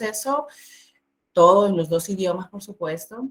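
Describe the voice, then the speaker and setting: A woman is speaking. Her pace is moderate. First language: Spanish. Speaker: biliteracy coach. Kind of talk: presentation.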